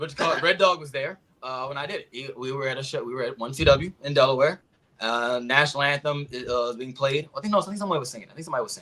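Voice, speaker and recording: A man with a fairly high pitch talks very fast, with ordinary pitch variation. His loudness swings a lot. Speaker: podcast panelist. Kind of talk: casual debate chat.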